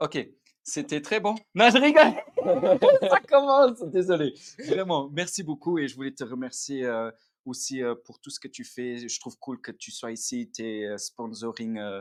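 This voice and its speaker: Talking at a fairly slow pace, a man with a fairly high pitch makes big swings in loudness and very wide pitch swings. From Luxembourg. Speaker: content creator, influencer. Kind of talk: casual interview chat. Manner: casual slangy.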